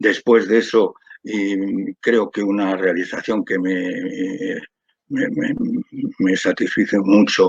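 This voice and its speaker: A man talks at a very slow pace. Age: 70s. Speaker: patient advocate and doctor. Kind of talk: panel talk. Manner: halting.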